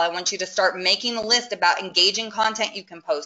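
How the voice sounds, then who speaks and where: Over noticeable background noise, a woman talks at a very fast pace in an energetic, enthusiastic tone. Her voice is medium in pitch with ordinary pitch variation. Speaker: webinar presenter, social media marketing consultant. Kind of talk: webinar presentation with live demo. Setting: online webinar.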